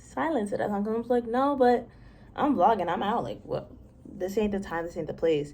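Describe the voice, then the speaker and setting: A woman with a medium pitch and a dark, mellow tone speaks at a fairly quick pace with lively intonation. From Massachusetts. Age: young. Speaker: architecture student. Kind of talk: casual talk to camera. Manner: chatty, rambling.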